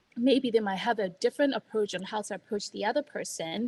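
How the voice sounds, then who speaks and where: A woman with a non-native accent speaks with lively intonation and a fairly high pitch. Her voice is somewhat breathy, with a dry, close sound and no echo. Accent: noticeable non-native. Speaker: healthcare strategy consultant. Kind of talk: casual career advice chat. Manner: hesitant with many fillers and restarts.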